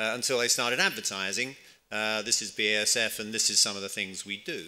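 Bright and sharp in tone, a man's fairly low voice keeps a fairly even intonation. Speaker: conference speaker. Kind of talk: conference talk. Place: hall. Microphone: podium.

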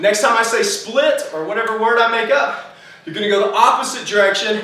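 Amid audible room echo, a man with a high pitch uses a raised, projected voice in an animated tone with ordinary pitch variation. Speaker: fitness instructor. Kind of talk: guided home workout class, coaching through timed intervals. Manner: animated, loud, encouraging, barking cues and countdowns; out of breath, pushing through effort. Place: gym.

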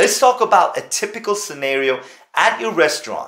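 A man speaks with big pitch swings and a fairly bright tone.

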